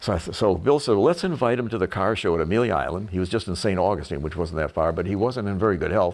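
Talking at a very fast pace with hardly any pauses, a man uses a very deep, low pitch and ordinary pitch variation. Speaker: retired car designer. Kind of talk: casual narration. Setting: at home. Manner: halting, many fillers.

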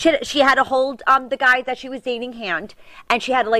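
A woman's high voice in a strong New York accent at a very fast pace, dry, close and without echo. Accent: thick New York. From New York City, Staten Island. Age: 40s. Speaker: reality TV personality. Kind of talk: casual interview chat. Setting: studio. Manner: loud.

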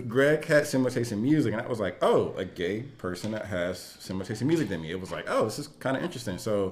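Very fast delivery from a man, with ordinary pitch variation. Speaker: podcast co-host. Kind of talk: casual chat.

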